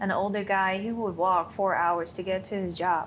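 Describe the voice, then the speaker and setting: In a non-native accent, the speaker keeps a moderate pace and fairly even intonation. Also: woman. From Thailand. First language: not English. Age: 20s. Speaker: course client. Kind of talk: interview.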